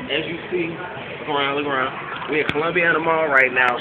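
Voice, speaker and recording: A man at a fairly quick pace against loud background noise. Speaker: rapper promoter. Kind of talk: pitchman promo. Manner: hyped, loud, fast-talking street-style hype. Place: shop. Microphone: phone near.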